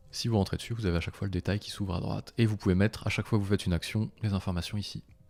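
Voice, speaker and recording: A man talks in a fairly low pitch. Music plays in the background. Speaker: software tools tutorial creator. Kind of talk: live screen-share tutorial. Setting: live stream. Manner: fast; casual, conversational.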